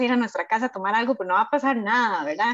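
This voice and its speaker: A woman speaks with a Costa Rican accent. Her pitch is fairly high, with ordinary pitch variation. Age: 30s. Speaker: podcast host. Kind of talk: casual chat.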